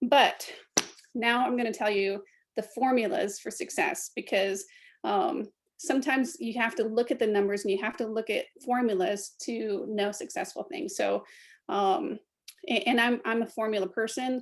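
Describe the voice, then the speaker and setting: A woman with an American accent and a fairly high voice, lively intonation, quiet background. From US Midwest, Michigan. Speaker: direct sales team leader and airline pilot. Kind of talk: training talk on video call. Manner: fast.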